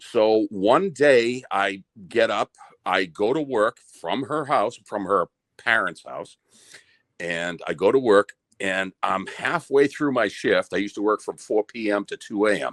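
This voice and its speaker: At a fairly slow pace, a man with an American accent speaks in a medium pitch with ordinary pitch variation. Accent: Boston accent, comes out when emotional. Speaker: listener telling a personal story. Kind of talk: casual storytelling chat. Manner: halting, repeats words.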